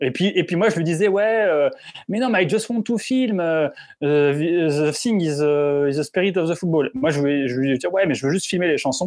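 A man with a high-pitched voice speaks at a moderate pace, his intonation lively and his loudness very even. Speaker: football video reporter. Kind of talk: casual storytelling. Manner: halting, repeats words.

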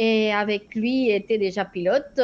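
The speaker talks at a very slow pace with a Spanish accent and ordinary pitch variation. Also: woman. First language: Spanish (speaking French). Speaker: flight instructor. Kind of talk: interview. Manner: hesitant, many fillers.

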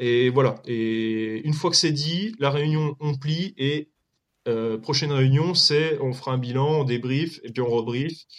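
This man's voice sits fairly high in pitch and has ordinary pitch variation. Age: 30s. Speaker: real estate investor. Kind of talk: casual chat. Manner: halting.

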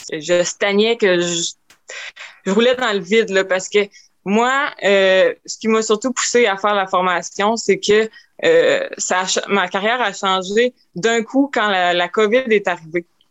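Speaking very slowly in a Quebec accent, a woman keeps a medium pitch with ordinary pitch variation. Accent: Québécois French. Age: 20s. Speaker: painter. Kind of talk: interview testimony. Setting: remote recording.

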